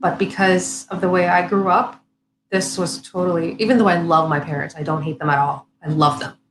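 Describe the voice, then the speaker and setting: With vocal fry, a woman talks at a fairly quick pace in a fairly low pitch. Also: ordinary pitch variation. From Saudi Arabia. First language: Arabic. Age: 30s. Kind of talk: casual chat. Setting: live stream.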